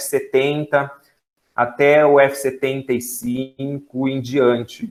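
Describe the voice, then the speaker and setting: A man's voice at medium pitch. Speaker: special education teacher and university lecturer. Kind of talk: lecture. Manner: fast.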